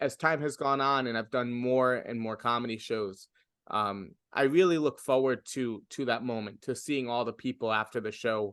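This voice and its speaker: In a New York accent, a man talks at a moderate pace and medium pitch. His pitch variation is ordinary, and the background is quiet. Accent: New York American English. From US, New York City. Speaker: stand-up comedian. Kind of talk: interview. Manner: halting.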